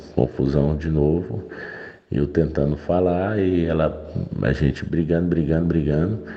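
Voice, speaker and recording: A man's very deep, low voice at a fairly slow pace, very even in loudness, over noticeable background noise. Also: fairly even intonation. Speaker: listener sharing a story. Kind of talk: voice message storytelling.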